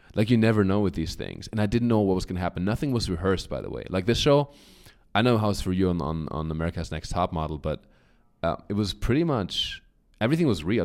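A man speaks very fast with a German accent, his voice fairly low and animated. The recording is very clean with a silent background. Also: lively intonation. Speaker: comedian and model. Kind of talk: casual interview chat.

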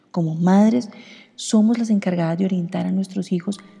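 A woman's fairly low voice at a moderate pace, with noticeable background noise. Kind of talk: devotional reflection.

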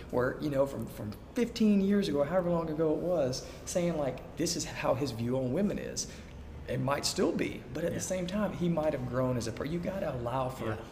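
Lively intonation from a man with an Alabama accent at a moderate pace, amid noticeable background noise and audible room echo. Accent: Southern US (Alabama). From US South, Alabama. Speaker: food truck owner, former missionary. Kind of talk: casual interview.

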